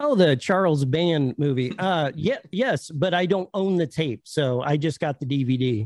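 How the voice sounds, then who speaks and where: With a normal speaking voice, a man talks at a fairly slow pace and fairly high pitch, his intonation lively, his loudness very even and his pauses hardly any. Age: 40s. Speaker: YouTuber, VHS collector. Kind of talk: casual chat. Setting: video call.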